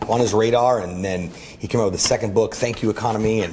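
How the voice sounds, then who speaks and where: Very fast and animated, a man speaks with ordinary pitch variation amid noticeable background noise and audible room echo. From US, raised in Orlando and Miami. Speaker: entrepreneur and event emcee. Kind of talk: casual interview chat. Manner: animated, with many fillers.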